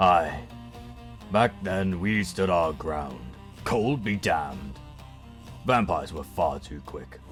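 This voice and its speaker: Putting on a character voice with a very deep, low pitch, a man speaks fairly slowly with long, frequent pauses over clear background music. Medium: audio drama. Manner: gruff, dry.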